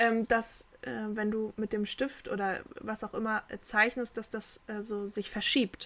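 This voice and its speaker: A woman with a fairly high pitch talks in a monotone, flat intonation. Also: fairly slow pace. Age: 20s. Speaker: podcast co-host. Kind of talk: casual chat.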